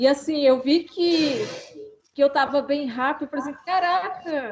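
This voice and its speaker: Fairly slow speech from a woman, high in pitch, its pitch varying in an ordinary way. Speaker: master's student defending thesis. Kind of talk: casual chat.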